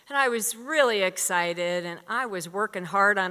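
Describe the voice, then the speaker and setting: This woman has a plain, everyday voice with an American accent, medium pitch, and ordinary pitch variation. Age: 60s. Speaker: storyteller. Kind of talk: live storytelling. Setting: stage with audience.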